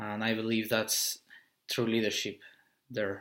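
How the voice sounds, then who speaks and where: A bright, sharp tone at a moderate pace with monotone, flat intonation. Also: man. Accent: Spanish. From Mexico City, Mexico. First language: Spanish. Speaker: business coach. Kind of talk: motivational talk. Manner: halting, with repetitions.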